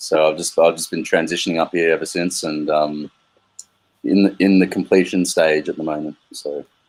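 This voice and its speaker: A man's very deep, low voice, monotone and flat, at a moderate pace. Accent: Australian. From Australia (Melbourne). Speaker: crypto community member. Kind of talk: casual chat. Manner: halting.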